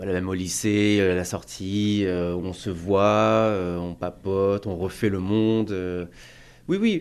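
A man speaks at a very slow pace and a fairly low pitch. His intonation stays monotone and flat. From rural France. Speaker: aviation worker. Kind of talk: interview. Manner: hesitant, with fillers.

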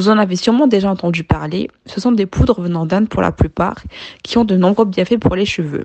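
Here is a woman with an ordinary speaking voice and a medium pitch. Her pace is moderate, and her pitch varies in an ordinary way. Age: 20s. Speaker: finance worker with side business. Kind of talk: scripted testimony.

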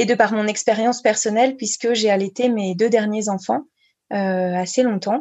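A woman speaks at a moderate pace in a normal speaking voice with a fairly high pitch. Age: 30s. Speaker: breastfeeding counselor and speech therapist. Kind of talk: interview.

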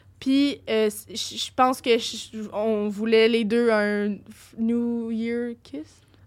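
Speaking very slowly, a woman with a fairly high pitch keeps her intonation fairly even while her loudness swings widely. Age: young. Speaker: podcast guest. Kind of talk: casual chat.

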